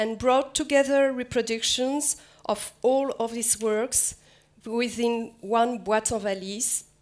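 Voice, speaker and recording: Speaking very slowly with a French accent, a woman keeps her intonation fairly even. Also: fairly high pitch for a woman. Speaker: museum curator. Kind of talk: lecture. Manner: halting, repeats words.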